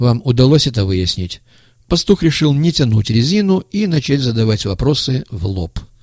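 The speaker uses a natural reading voice.

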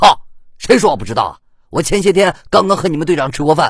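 A man performs a put-on character voice at a fast pace, with fairly high pitch. Big pitch swings run through it, along with a slightly husky edge.

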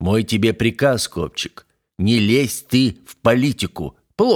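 The speaker is reading aloud in a natural voice with ordinary pitch variation against a quiet background.

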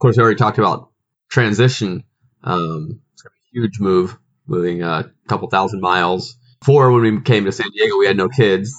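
Talking at a fairly quick pace, a man with an American accent has a fairly low pitch and ordinary pitch variation. His is a plain, everyday voice. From grew up overseas, US Midwestern parents. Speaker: podcast host and minister. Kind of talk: casual chat.

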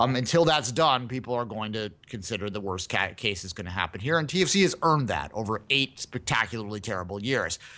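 A man with a Canadian accent, bright and sharp in tone, at a medium pitch with lively intonation, very fast with hardly any pauses, against a quiet background. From Canada. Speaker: soccer podcast host. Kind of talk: casual chat.

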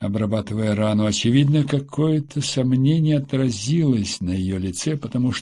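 Someone is reading aloud in a natural voice.

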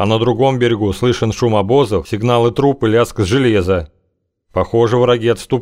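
Here is plain reading aloud with fairly even intonation and a quiet background.

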